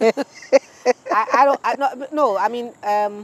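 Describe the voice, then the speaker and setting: A woman talks over noticeable background noise. The sound is dry and close, with no echo. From Ghana (Accra). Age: 50s. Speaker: politician and actress. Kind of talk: interview.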